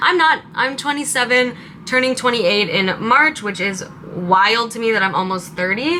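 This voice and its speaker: This woman has a West Coast US accent and a fairly high pitch. She talks at a moderate pace against noticeable background noise. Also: lively intonation. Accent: General American, West Coast. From Southern California, Palm Springs. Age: 20s. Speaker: lifestyle YouTuber. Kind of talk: casual vlog chat.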